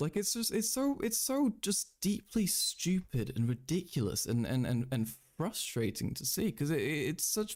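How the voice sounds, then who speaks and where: A man with a British accent at a moderate pace, with very wide pitch swings. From Britain. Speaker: streamer. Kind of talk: live stream commentary. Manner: halting; animated.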